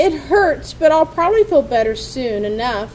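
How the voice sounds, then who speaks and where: A woman's put-on character voice, high-pitched, at a moderate pace over clear background noise. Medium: read story.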